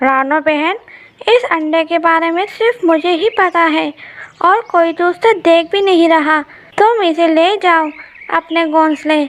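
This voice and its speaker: A woman puts on a cartoonish character voice, speaking at a fairly slow pace with an extremely high pitch. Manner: chatty.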